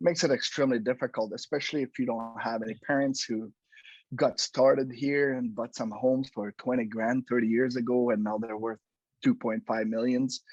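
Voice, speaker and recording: A man in a French Canadian accent, fairly quick and fairly even in intonation, with a dry, close sound with no echo and a quiet background. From Quebec, French Canada. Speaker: home inspector, business owner. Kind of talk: casual interview. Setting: podcast recording.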